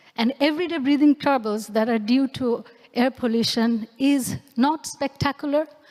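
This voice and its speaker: Talking at a moderate pace with a Bengali accent, a woman uses a high pitch with ordinary pitch variation. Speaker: anthropologist and researcher. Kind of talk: lecture performance.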